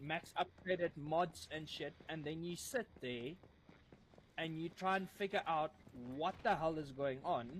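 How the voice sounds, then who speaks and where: A man with a strong Afrikaans South African accent speaks at a fairly high pitch. His pace is fairly slow. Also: ordinary pitch variation. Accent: thick Afrikaans South African. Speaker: gamer. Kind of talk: casual chat.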